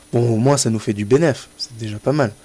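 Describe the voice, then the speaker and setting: A man speaks in a dark, mellow tone at a medium pitch, with ordinary pitch variation. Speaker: gaming youtuber. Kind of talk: let's play commentary. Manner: halting.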